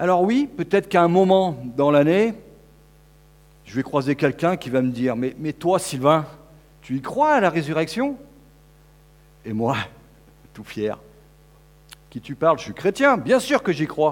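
The speech moves at a fairly slow pace with long, frequent pauses, very wide pitch swings and big swings in loudness. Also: man, fairly high pitch for a man. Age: 50s. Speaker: preacher. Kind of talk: sermon.

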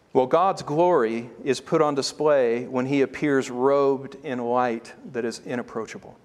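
A man talks at a fairly slow pace. There are hardly any pauses in his speech. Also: ordinary pitch variation. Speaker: preacher. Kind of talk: sermon. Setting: church.

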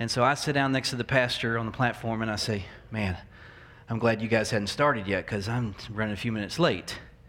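A man with an American accent talks at a fairly quick pace and a medium pitch. His intonation is fairly even, and the room echo is audible. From US South, Memphis, Tennessee. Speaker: pastor. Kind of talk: sermon. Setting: church.

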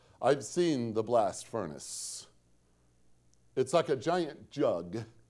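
A man with an American accent speaks at a fairly slow pace. His pitch moves in an ordinary way. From Northwest Indiana, US Midwest. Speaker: pastor. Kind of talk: sermon. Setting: church.

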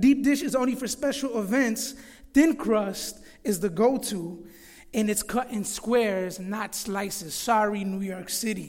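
At a fairly slow pace, a man with a high pitch and an American accent talks with ordinary pitch variation amid audible room echo. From Florida. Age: 30s. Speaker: pastor. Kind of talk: sermon. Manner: halting.

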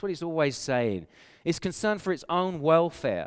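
On a very clean recording with a silent background, a man with an English accent speaks with lively intonation. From England. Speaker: pastor. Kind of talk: sermon. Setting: conference hall with audience.

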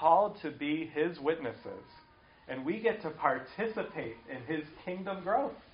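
Audible room echo surrounds a man speaking at high pitch. His intonation is lively and his pace moderate. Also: big swings in loudness. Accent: American. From US Midwest, Cleveland, Ohio. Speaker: pastor. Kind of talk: sermon.

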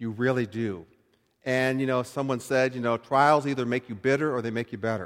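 In a normal speaking voice, a man with an American accent talks fairly quickly at a medium pitch and with fairly even intonation. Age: 60s. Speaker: pastor. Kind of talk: sermon. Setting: church. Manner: conversational.

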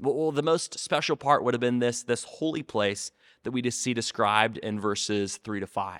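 A man's unremarkable speaking voice at medium pitch and moderate pace, with ordinary pitch variation, on a very clean recording with a silent background and a dry, close sound with no echo. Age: 30s. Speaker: student ministry pastor. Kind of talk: short sermon. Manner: repetitive, with frequent fillers.

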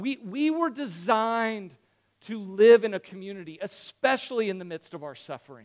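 A man speaks with a high pitch, lively intonation and big swings in loudness. The very clean recording has a silent background and a dry, close sound with no echo. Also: moderate pace. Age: 40s. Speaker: pastor. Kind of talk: sermon. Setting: church. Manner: conversational.

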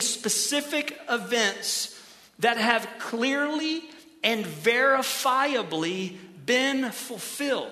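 With an American accent, a man projects his raised voice at an extremely high pitch, with audible room echo and noticeable background noise. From Ohio. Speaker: pastor. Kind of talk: sermon.

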